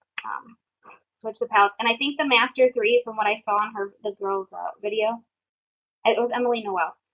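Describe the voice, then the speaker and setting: This woman's pitch sits fairly high. Her intonation stays fairly even. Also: quiet background. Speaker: beauty vlogger. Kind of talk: product haul review. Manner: fast; casual, filler-heavy. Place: home room. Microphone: webcam.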